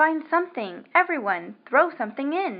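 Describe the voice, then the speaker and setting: A woman puts on a character voice pitched high. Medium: read story.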